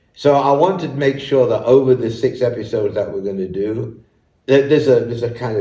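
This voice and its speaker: A man talks at a very fast pace in a dark, mellow tone that is somewhat breathy. Audible room echo colors the sound. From northern England, Leeds. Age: 70s. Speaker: business leader. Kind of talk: interview.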